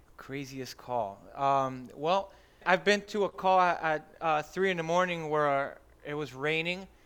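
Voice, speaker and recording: Speaking at a fairly slow pace, a man with an American accent has a fairly high pitch and ordinary pitch variation. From Miami, Florida. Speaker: firefighter. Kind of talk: casual chat. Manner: animated.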